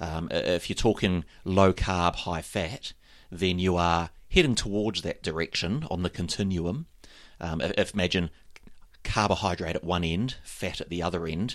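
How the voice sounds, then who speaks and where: Against a silent background in a very clean recording, a man speaks at a moderate pace, his very deep, low pitch showing ordinary variation. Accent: New Zealand. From New Zealand. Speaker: triathlon coach, podcast co-host. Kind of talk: casual chat.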